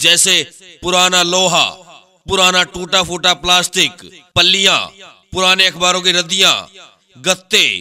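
This is a man speaking. His pitch is high. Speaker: announcer. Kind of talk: street hawker loudspeaker announcement.

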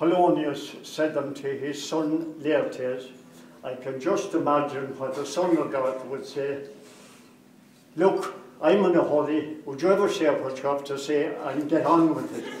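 Fairly high in pitch, a man speaks at a fairly slow pace with fairly even intonation. The room echo is audible, along with light background noise. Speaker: grandfather giving wedding speech. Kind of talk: wedding speech. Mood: humorous storytelling. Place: hall.

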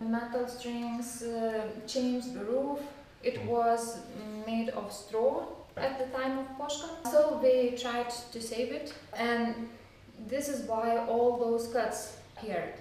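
A woman's high-pitched, monotone, flat voice at a very slow pace, with long, frequent pauses, strong room echo and light background noise. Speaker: museum guide. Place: garden.

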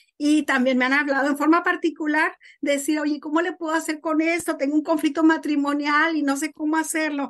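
The speech moves at a fairly quick pace in a monotone, flat intonation, with hardly any pauses. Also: woman, high pitch for a woman. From northern Mexico, Morelos, Coahuila. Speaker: author and former school teacher. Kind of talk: interview.

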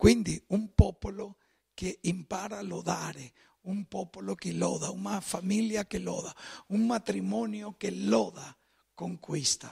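Against a quiet background, a man with a Spanish accent speaks at a fairly slow pace. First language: Spanish (speaking Italian). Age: 50s. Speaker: pastor. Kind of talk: sermon. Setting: church. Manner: mixes Spanish and Italian. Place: church.

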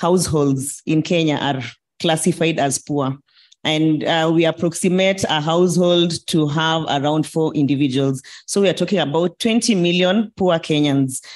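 This woman has a very deep, low pitch and ordinary pitch variation. Her loudness stays very even at a moderate pace. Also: quiet background. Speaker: panelist. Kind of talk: panel discussion answer. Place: hall. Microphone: handheld.

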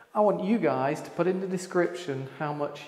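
Against a quiet background, a man speaks with audible room echo. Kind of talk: casual vlog chat. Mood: proud, enthusiastic. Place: hall. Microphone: lapel.

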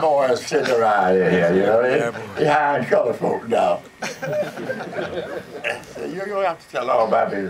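A man with an American accent speaks at a fairly slow pace and a fairly high pitch, with very wide pitch swings. Noticeable background noise runs beneath him. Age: 80s+. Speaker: radio personality. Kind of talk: interview answer. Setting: live audience, event hall. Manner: soft-spoken.

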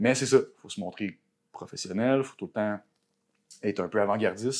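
Against a quiet background, a man talks at a fairly quick pace with a fairly low pitch and fairly even intonation. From Quebec. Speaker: tattoo artist; podcast guest. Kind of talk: casual chat. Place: home room. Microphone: lapel.

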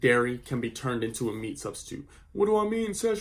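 A man with an American accent speaks at a fairly quick pace, his pitch swinging very widely. His voice is somewhat breathy and his tone animated. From US, Philadelphia. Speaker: YouTuber, vegan lifestyle creator. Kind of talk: vlog monologue.

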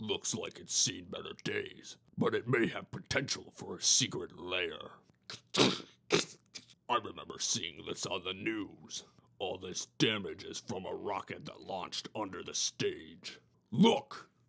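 This man talks at a fairly slow pace in a put-on character voice. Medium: read story. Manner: smug, chatty, theatrical.

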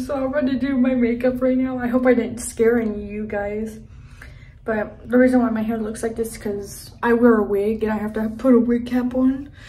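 A woman speaks with a dark, mellow tone. Her intonation stays fairly even. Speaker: vlogger. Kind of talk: casual vlog chat. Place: home room. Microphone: phone near.

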